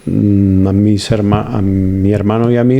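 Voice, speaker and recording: With a Spanish accent, a man talks at a fairly low pitch with ordinary pitch variation, and there is noticeable background noise. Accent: Spanish (Spain), noticeable. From Spain, Valladolid. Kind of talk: interview.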